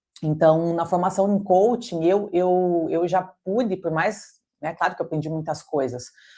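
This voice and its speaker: A woman with a Brazilian accent speaks slowly-ish, at a fairly slow pace, in a dark, mellow tone at fairly low pitch with ordinary pitch variation. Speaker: coach and holistic therapist. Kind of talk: intimate interview conversation. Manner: halting, many repetitions and fillers.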